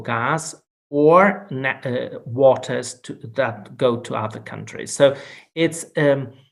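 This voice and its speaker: Speaking very slowly in a Portuguese accent, a man with a fairly high voice shows ordinary pitch variation. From Portugal. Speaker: law professor and Jesuit priest. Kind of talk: lecture. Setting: video call. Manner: halting.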